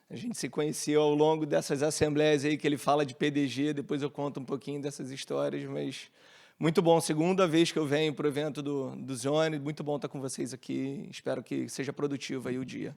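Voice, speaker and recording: With a Rio de Janeiro accent, a man talks at a fairly quick pace with hardly any pauses, using fairly even intonation and a fairly high pitch, on a very clean recording with a silent background. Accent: Rio de Janeiro accent, hissing s. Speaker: company CEO, panel moderator. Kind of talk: panel discussion. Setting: stage with audience.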